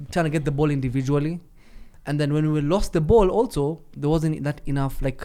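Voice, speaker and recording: Speaking with a Kenyan accent, a man has a dark, mellow tone, fairly high pitch, fairly even intonation and a fairly quick pace. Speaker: football pundit. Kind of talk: casual chat.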